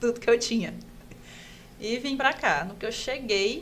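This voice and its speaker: A woman's voice with audible room echo. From Pará, northern Brazil. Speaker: orthopedic resident doctor. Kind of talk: casual podcast interview, personal story.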